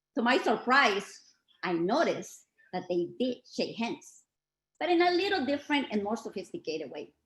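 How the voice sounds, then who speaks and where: Her pitch fairly high, a woman speaks at a moderate pace with vocal fry. Her pitch swings very widely. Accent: Spanish. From Mexico. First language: Spanish. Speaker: community speaker. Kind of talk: reading aloud. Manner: formal.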